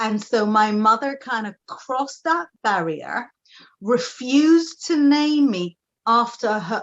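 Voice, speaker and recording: A woman speaks with an Israeli accent. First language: Hebrew. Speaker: TV psychic and tarot reader. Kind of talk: interview.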